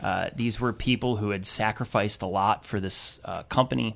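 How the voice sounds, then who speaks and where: An ordinary speaking voice with an American accent moves at a moderate pace in a very clean recording with a silent background. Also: man. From US Midwest, Wisconsin. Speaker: teachers' union activist. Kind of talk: radio interview. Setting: radio studio.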